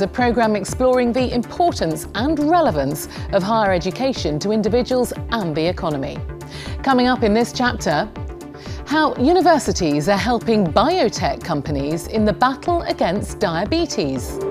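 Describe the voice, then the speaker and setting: Clear music plays in the background as a woman talks at a moderate pace, her pitch swinging very widely. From UK. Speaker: newsreader. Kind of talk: TV programme presenting. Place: studio.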